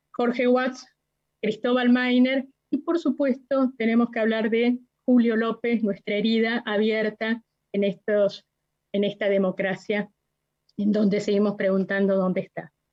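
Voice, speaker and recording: Using an ordinary speaking voice, a woman speaks fairly slowly in a fairly high pitch with fairly even intonation. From Argentina, La Plata. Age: 60s. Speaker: witness, human rights activist. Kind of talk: court testimony.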